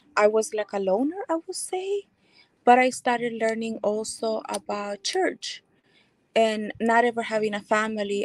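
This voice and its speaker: A woman with a Spanish accent speaks at a fairly slow pace and a fairly high pitch, recorded with a dry, close sound and no echo. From El Salvador. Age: 40s. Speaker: speaker sharing life story. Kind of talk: testimony.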